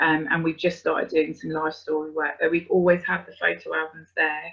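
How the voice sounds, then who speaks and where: A woman speaks with a British accent. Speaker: adoptive parent. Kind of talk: webinar talk. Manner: hesitant, many fillers.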